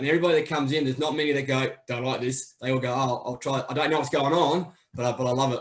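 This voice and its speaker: A man speaks very fast. His intonation is monotone and flat. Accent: Australian. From Australia, Adelaide. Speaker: amateur footy club member and PE teacher. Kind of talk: casual chat. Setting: video call.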